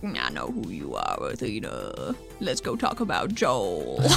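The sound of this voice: Against loud background music, a man uses a put-on character voice at a fairly slow pace.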